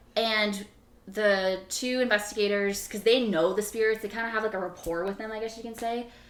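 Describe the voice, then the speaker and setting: A woman at a fairly quick pace, with big swings in loudness, over noticeable background noise. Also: fairly high pitch for a woman. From Canada, Toronto. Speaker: paranormal investigator and YouTuber. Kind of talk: casual chat. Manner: animated.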